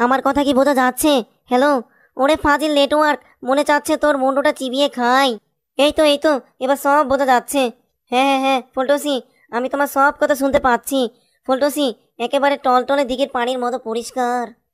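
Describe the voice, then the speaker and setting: A cartoonish character voice, female-sounding and high-pitched, at a moderate pace with monotone, flat intonation. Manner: exclamatory, comic.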